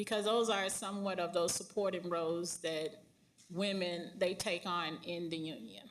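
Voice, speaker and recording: A woman speaks at a moderate pace with ordinary pitch variation. Audible room echo fills the recording. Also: fairly low pitch for a woman. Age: 40s. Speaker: union leader and bus driver. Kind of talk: panel discussion.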